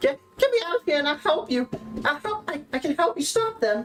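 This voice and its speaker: A high, squeaky put-on character voice is heard. It moves at a fairly quick pace. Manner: pleading, nervous.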